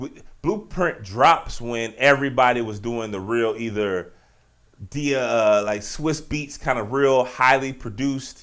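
A man speaks at a fairly slow pace. His voice sits at a medium pitch with ordinary pitch variation. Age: 30s. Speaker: sports and culture podcast host. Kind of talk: solo podcast monologue. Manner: animated.

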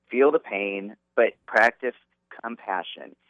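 This man talks very slowly. His voice is at a medium pitch. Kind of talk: interview. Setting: phone call.

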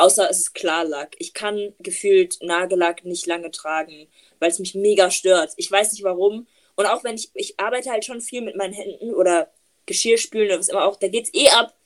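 Using a plain, everyday voice, a woman talks at a moderate pace with ordinary pitch variation and big swings in loudness. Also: medium pitch for a woman. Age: 20s. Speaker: podcast host. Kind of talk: casual chat. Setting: video call.

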